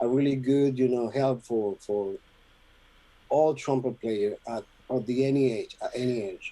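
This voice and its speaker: Here a man talks at a medium pitch with a dark, mellow tone. He goes at a fairly slow pace, with long, frequent pauses. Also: fairly even intonation. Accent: Spanish. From Venezuela. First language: Spanish. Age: 50s. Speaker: trumpet player. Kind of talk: interview. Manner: halting, many repetitions and fillers.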